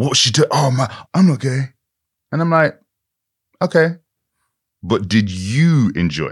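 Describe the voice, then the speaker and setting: A somewhat breathy man speaks at a fairly slow pace with very wide pitch swings and long, frequent pauses. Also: medium pitch for a man, very clean recording, silent background. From Britain, Irish-Nigerian heritage. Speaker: author and actor. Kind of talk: interview.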